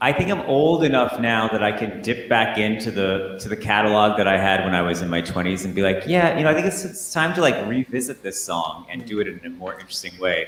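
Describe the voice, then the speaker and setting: A man's fairly low voice at a very fast pace, lively intonation, audible room echo and noticeable background noise. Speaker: musician. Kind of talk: casual interview.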